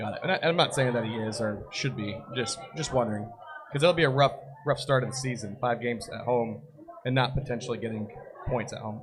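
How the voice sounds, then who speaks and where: Medium-pitched male speech at a fairly quick pace, with ordinary pitch variation and noticeable background noise. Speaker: soccer podcast host. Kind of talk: live podcast chat. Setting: live broadcast at a brewery party.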